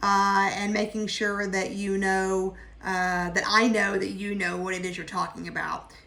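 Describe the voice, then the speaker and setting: Audible room echo surrounds a woman whose tone is bright and sharp. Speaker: college instructor. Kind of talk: online class orientation. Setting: video call.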